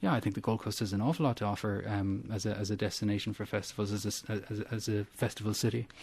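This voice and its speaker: Speaking at a very fast pace with hardly any pauses, a man with an Irish accent has a fairly low, somewhat breathy voice and fairly even intonation. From Ireland, Cork. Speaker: urban planning academic. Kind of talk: radio interview. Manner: halting, repeats words.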